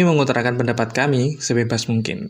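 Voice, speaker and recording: A man with an unremarkable speaking voice at a medium pitch, recorded very cleanly against a silent background. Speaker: podcast host. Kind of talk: casual chat.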